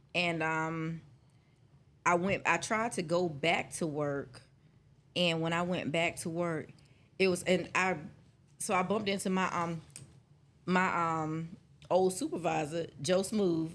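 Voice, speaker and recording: Speaking at a fairly slow pace with long, frequent pauses, a woman keeps a fairly low pitch and ordinary pitch variation. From South Carolina (Williamsburg County, Conway). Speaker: former customer service agent and entrepreneur. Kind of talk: casual interview chat. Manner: animated storytelling.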